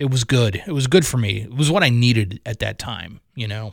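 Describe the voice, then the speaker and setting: A somewhat breathy male voice at medium pitch, with an American accent. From Maryland, US. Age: 40s. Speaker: radio host doing a personal podcast. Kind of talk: personal monologue. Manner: halting, many fillers and repeats.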